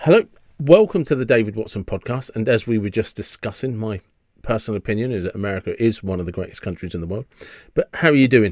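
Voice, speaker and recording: In a very clean recording with a silent background and dry, close sound with no echo, a man with an English accent speaks very fast at medium pitch with ordinary pitch variation. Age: 50s. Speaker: podcast host. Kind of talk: podcast interview. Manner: hesitant, restarts sentences.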